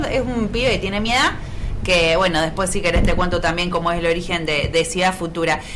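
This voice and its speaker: In a Rioplatense accent, a woman with a fairly low pitch speaks at a fairly quick pace with ordinary pitch variation and very even loudness. The recording has audible room echo and noticeable background noise. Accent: Argentine Rioplatense Spanish. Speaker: politician. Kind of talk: radio interview.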